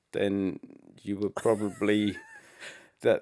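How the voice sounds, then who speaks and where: A soft-spoken man with an English accent, recorded with a dry, close sound and no echo. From England. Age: young. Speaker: rock musician. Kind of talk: interview answer.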